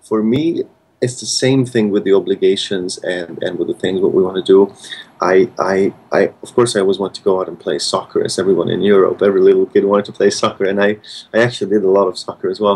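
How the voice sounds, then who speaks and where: A man with a Hungarian accent at a very fast pace. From Hungary, Budapest. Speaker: concert pianist. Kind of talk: interview. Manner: halting, many repetitions and fillers.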